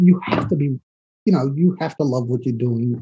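This man speaks with a New York accent. His pace is moderate. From New York City, the Bronx. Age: 40s. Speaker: actor. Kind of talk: casual chat.

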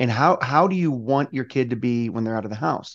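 A man talks at a fairly quick pace in a normal speaking voice, medium in pitch with ordinary variation, over a quiet background. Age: 40s. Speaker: army veteran, podcast host. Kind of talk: interview.

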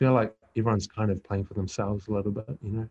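A dark, mellow tone with a New Zealand accent over a quiet background. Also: man. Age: 40s. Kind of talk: interview. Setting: video call. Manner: halting.

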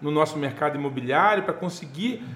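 A man talks with ordinary pitch variation amid noticeable background noise. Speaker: real estate businessman and speaker. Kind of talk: casual interview chat.

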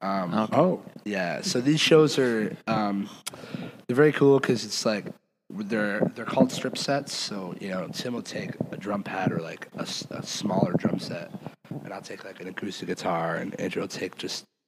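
A man with an American accent talks at a moderate pace in a plain, everyday voice pitched fairly low. His intonation is lively and his loudness swings widely. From Michigan, US. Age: 20s. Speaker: rock band singer and guitarist. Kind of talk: casual chat.

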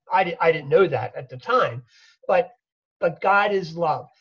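A man speaks with a high-pitched voice. His pace is fairly slow. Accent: American. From US, Philadelphia. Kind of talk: interview.

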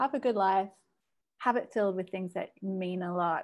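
Speaking at a moderate pace, a woman has an ordinary speaking voice, a medium pitch and ordinary pitch variation. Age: 30s. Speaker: actor. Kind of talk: casual chat. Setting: video call.

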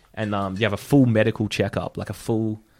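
A man with an Australian accent speaks at a fairly low pitch in a monotone, flat intonation. The recording is very clean, with a silent background. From Brisbane, Australia. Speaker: guest storyteller. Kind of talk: storytelling.

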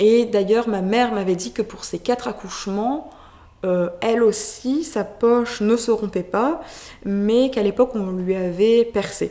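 A woman of medium pitch speaks fairly slowly with ordinary pitch variation. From France. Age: 20s. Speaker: mother sharing birth story. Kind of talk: testimony. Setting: in person. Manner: hesitant, many fillers.

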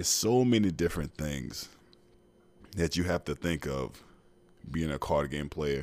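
A voice with vocal fry and lively intonation moves at a fairly slow pace, broken by long, frequent pauses, on a very clean recording with a silent background. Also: man, very deep, low pitch for a man. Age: 30s. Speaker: podcast host, football player and personal trainer. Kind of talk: casual solo podcast monologue. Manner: animated.

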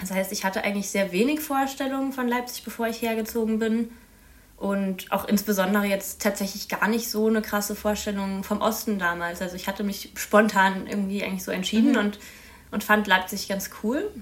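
Her intonation is fairly even, and this woman speaks at a medium pitch. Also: fairly quick pace. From Baden-Württemberg, near Freiburg. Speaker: master's student, youth council member. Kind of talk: casual interview.

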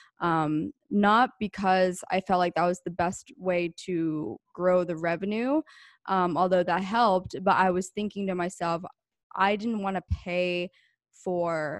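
A woman with a normal speaking voice and an American accent against a quiet background. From rural Pennsylvania. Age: 20s. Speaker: entrepreneur. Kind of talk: interview.

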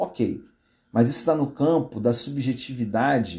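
Against a quiet background, a man speaks at a very slow pace with a dark, mellow tone. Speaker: pastor. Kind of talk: live-stream commentary. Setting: live stream from home. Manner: halting.

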